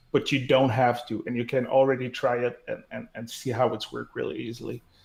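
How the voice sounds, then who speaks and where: A man speaks at a fairly quick pace with a Quebec accent. His voice sits at a medium pitch. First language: French. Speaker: developer relations director. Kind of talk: casual tech interview. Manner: halting, many fillers.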